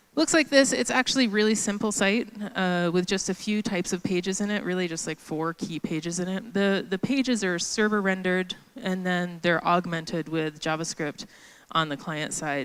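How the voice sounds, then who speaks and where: Her pitch medium and its variation ordinary, a woman talks at a moderate pace. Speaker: conference speaker. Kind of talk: conference talk. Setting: stage with audience. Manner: loud; casual, filler-heavy.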